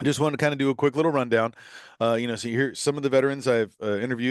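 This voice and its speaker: With an American accent, a man talks at a very fast pace. The background is quiet. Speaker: podcast host. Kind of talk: podcast monologue.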